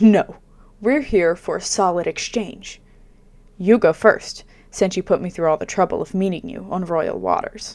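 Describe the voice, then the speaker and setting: In a put-on character voice, a woman speaks with a guttural sound at medium pitch and a moderate pace, over a very clean recording with a silent background. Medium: read story. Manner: commanding, arrogant.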